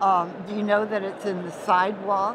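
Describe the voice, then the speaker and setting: Over noticeable background noise, a woman speaks at a medium pitch in a flat, monotone delivery. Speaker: mycologist, interviewer. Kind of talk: oral history interview.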